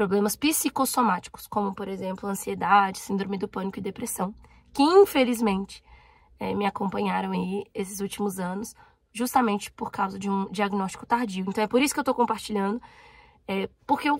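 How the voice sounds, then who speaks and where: A woman's somewhat breathy voice at a medium pitch, with ordinary pitch variation and a fairly quick pace. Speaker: YouTuber. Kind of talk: personal vlog.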